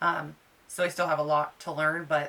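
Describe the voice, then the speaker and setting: Her voice is bright and sharp in tone, fairly low in pitch, and monotone with flat intonation as the woman talks at a moderate pace. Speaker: crafter. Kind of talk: tutorial. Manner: halting.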